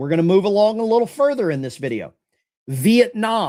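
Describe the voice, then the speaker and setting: A man speaks with a lower Alabama accent and very wide pitch swings. The recording is very clean, with a silent background. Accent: Southern US (lower Alabama). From US South, lower Alabama. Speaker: political commentary livestream host. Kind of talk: live-stream commentary. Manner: casual, conversational.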